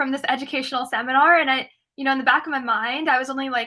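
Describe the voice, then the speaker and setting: In a very clean recording with a silent background, a woman with a high voice and a bright, sharp tone projects at a raised level, speaking fairly quickly with fairly even intonation. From US Midwest, Ohio. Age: 20s. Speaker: student activist. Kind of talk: interview. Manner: casual, filler-heavy.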